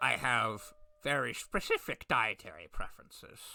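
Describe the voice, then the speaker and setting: A put-on character voice sits at a low-to-middle pitch. It moves along at a moderate pace. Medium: actual play. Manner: stiff, prim.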